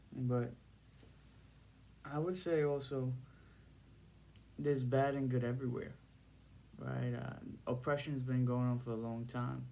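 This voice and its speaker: A man's medium-pitched voice with a New York accent, dark and mellow in tone, fairly even in intonation, at a fairly slow pace with long, frequent pauses and audible room echo. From Brooklyn, New York (Bensonhurst), Trinidadian family. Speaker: video blogger. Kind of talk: casual monologue to camera. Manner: halting.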